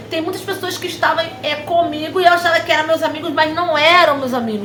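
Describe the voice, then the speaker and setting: A woman's extremely high-pitched voice at a fairly quick pace, with audible room echo and noticeable background noise. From Brazil, Nova Iguaçu, Rio de Janeiro. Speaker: preacher, channel host. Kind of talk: personal testimony. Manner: fast; agitated, energetic.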